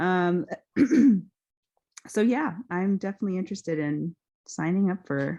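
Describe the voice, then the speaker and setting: Against a quiet background, a woman with a dark, mellow tone speaks at a moderate pace. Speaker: former raft guide, club meeting attendee. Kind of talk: casual video-call introduction. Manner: halting, many fillers.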